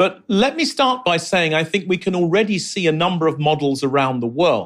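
On a very clean recording with a silent background, a man with a London accent speaks at a moderate pace with lively intonation. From London, England. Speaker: urbanist and professor. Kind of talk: interview.

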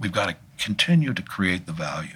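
A man with an American accent speaks at a moderate pace and a fairly low pitch. His pitch swings very widely over noticeable background noise. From Washington, DC. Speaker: artist and arts organizer. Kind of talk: interview. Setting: studio. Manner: halting.

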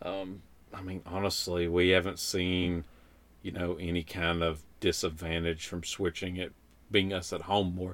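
A man with a very deep, low voice talks at a moderate pace in a monotone, flat delivery. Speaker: podcast host, homesteader. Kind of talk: casual conversational podcast chat.

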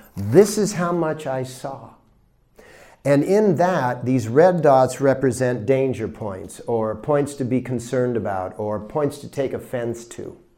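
A man speaks fairly slowly at medium pitch in a dark, mellow tone with lively intonation. Audible room echo surrounds his voice. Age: 60s. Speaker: spiritual teacher. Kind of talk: lecture. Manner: animated.

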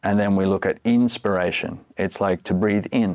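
Speaking fairly slowly with an Australian accent, a man uses a fairly low pitch and fairly even intonation. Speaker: breathwork and cold exposure coach. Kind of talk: podcast interview.

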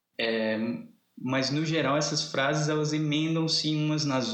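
There is audible room echo around a man talking at a fairly high pitch for a man. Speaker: literature professor. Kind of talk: casual chat. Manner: animated.

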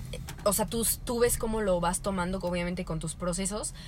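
A woman with a normal speaking voice talks at a medium pitch with fairly even intonation. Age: 20s. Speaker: podcast co-host. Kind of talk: casual chat.

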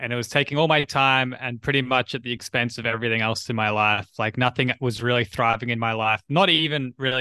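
With an Australian accent and a bright, sharp tone, a man talks at a fairly quick pace and medium pitch with hardly any pauses, in a dry, close recording with no echo. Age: 30s. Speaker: writer and entrepreneur. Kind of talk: casual chat.

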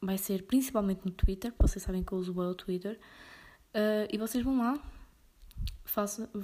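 Her tone is dark and mellow, and her pitch is medium. This woman talks at a moderate pace with a European Portuguese accent. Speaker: podcaster. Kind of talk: casual monologue.

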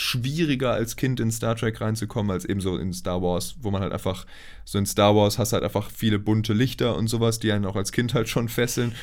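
His pitch sits fairly low. The man speaks at a fairly quick pace with hardly any pauses. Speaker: podcast co-host. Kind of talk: casual chat. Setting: recording in the same room, single shared mic.

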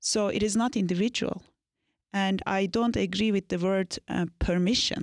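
With a Turkish accent, a woman talks at a moderate pace and medium pitch with fairly even intonation, in a very clean, dry, close recording with a silent background and no echo. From Turkey, Anatolia. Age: 40s. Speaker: business consultant and leadership mentor. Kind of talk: interview.

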